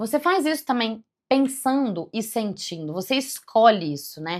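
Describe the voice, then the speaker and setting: On a very clean recording with a silent background, a woman speaks at a very slow pace with lively intonation. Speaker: spiritual self-development youtuber, former executive. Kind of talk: reflective monologue. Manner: casual, halting.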